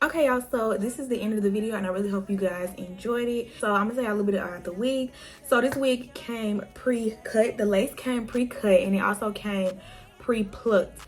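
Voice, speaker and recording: Noticeable background noise behind a woman's fairly high voice, fairly even in intonation, at a fairly quick pace. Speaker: beauty vlogger. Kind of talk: tutorial. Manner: fast.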